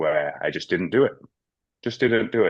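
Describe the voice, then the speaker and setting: A man speaks with a Manchester accent. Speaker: business owner. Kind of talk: group video call discussion.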